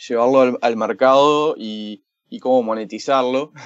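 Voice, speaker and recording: This man has a medium-pitched voice. He speaks with a Uruguayan accent. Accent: Rioplatense Spanish (Uruguayan). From Uruguay, Montevideo. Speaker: startup founder, machine learning entrepreneur. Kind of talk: interview.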